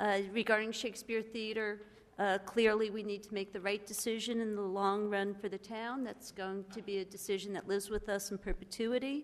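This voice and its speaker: A woman with monotone, flat intonation. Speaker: council chair. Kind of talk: chairing a meeting. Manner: formal.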